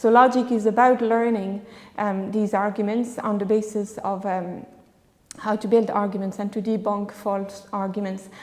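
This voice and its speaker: With a French accent, a woman speaks at a moderate pace and medium pitch in a monotone, flat way, and there is audible room echo. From France. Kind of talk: panel discussion. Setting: church conference with audience.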